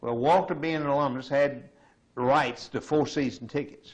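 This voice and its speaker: A man uses a Southern US accent and talks at a moderate pace. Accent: Southern American. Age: 70s. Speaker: retiree. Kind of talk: oral history interview.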